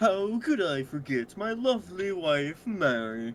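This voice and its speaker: This put-on character voice sits at a middle pitch, moves at a fairly slow pace, and swings very widely in pitch. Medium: game stream.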